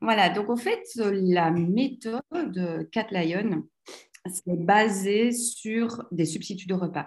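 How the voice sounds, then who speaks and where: A woman at a medium pitch. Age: 40s. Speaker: entrepreneur. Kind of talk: interview. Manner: animated.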